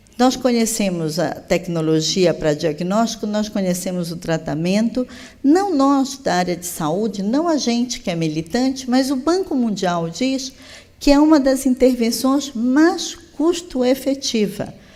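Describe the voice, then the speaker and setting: A woman speaks fairly slowly with very wide pitch swings and audible room echo. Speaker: public health official. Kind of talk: conference plenary lecture. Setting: conference stage with audience.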